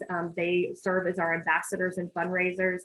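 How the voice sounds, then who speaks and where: A woman speaks at a medium pitch. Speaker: nonprofit representative. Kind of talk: presentation at a meeting. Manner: fast.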